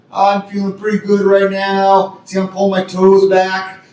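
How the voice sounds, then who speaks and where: This man has a high-pitched voice and speaks at a moderate pace. Noticeable background noise runs underneath. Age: 60s. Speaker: martial arts instructor. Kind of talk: tutorial. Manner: casual, halting with fillers.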